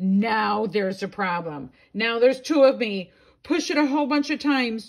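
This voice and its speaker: Putting on a character voice, a woman talks at a moderate pace with a fairly high pitch. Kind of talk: bedtime story. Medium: read story. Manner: excitable, playful.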